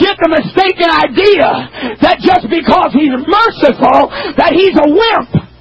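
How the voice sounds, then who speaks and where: Shouting at an extremely high pitch, a man keeps his loudness very even at a fairly slow pace. Noticeable background noise can be heard. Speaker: preacher. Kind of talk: sermon. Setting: church pulpit with youth audience.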